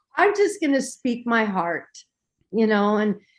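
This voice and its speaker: A woman's fairly high-pitched, fairly slow delivery in an ordinary speaking voice, quiet background. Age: 60s. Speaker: meditation participant. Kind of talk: testimony.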